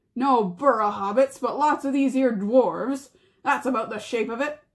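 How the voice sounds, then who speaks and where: A woman growls in a put-on character voice pitched high. She keeps a moderate pace. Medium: read story. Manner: coarse, drawling.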